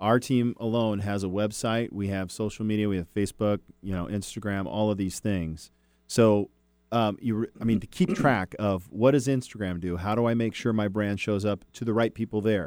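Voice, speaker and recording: A man's plain, everyday voice, fairly low in pitch, with fairly even intonation at a moderate pace. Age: 40s. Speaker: real estate broker and radio host. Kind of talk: radio talk show.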